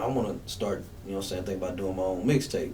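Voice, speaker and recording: A man speaks at a fairly low pitch. The room echo is audible. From Memphis, Tennessee (East Memphis). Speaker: rapper. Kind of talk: radio interview. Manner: casual, relaxed.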